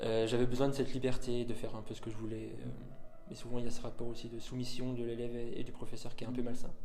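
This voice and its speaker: A man's monotone, flat voice at medium pitch and a very fast pace, with audible room echo and music in the background. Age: 20s. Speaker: pianist and composer. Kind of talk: interview. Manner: hesitant, many fillers.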